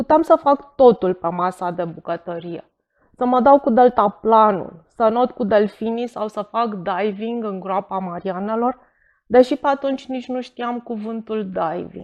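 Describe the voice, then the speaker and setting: Using an unremarkable speaking voice, a woman talks at a fairly slow pace and fairly high pitch, with ordinary pitch variation and big swings in loudness. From Romania, Bucharest. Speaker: writer. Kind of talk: reading aloud.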